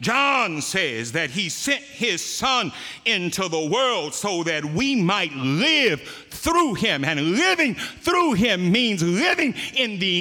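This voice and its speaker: A man speaks in a raised, projected voice with very wide pitch swings. He goes at a very slow pace over noticeable background noise. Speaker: preacher. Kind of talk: sermon. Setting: church.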